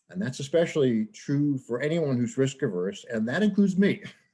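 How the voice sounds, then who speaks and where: Speaking with an American accent, a man uses a fairly high pitch with very wide swings, his tone dark and mellow and somewhat breathy. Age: 70s. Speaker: professor. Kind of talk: lecture.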